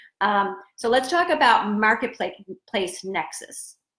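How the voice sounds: A woman talks slowly with lively intonation. Her tone is fairly bright, and room echo is audible. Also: medium pitch for a woman.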